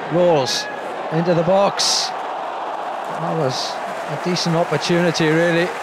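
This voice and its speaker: The speech moves at a moderate pace with long, frequent pauses, recorded dry with no echo but with loud background noise. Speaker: football commentator. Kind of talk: live match commentary.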